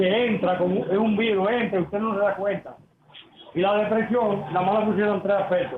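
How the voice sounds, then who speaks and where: Noticeable background noise and audible room echo around a man's high-pitched voice with ordinary pitch variation. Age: 70s. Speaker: caller. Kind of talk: testimony. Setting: phone call.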